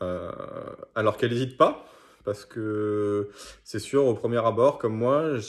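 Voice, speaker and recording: A man talks with a fairly low pitch and fairly even intonation at a fairly slow pace. The background is quiet. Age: 20s. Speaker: gym member and judo instructor. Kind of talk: testimonial. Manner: hesitant with frequent fillers. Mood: calm, positive. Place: home room. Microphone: phone near.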